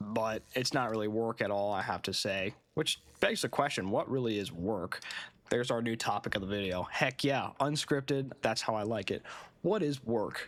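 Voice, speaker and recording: A medium-pitched male voice at a moderate pace with ordinary pitch variation, on a very clean recording with a silent background. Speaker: vlogger. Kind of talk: unscripted monologue. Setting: alone in front of a camera. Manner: halting.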